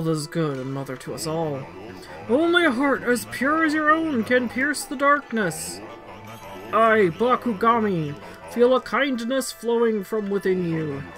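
At a moderate pace, a put-on character voice with fairly high pitch plays over clear music in the background. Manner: solemn, noble.

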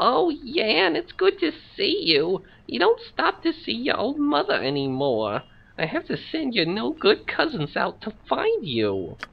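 A put-on character voice, female-sounding and fairly high, at a fairly slow pace. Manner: scolding, guilt-tripping.

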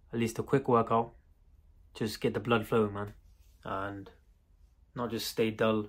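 A man speaks at a moderate pace with monotone, flat intonation. The background is quiet. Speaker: home workout vlogger. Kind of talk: casual vlog chat. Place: garage. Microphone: earbuds.

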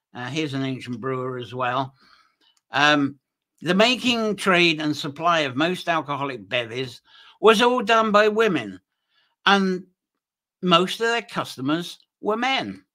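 Against a quiet background, a man with a bright, sharp tone speaks at a fairly slow pace, his pitch swinging very widely between long, frequent pauses. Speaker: presenter. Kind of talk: lecture. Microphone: webcam.

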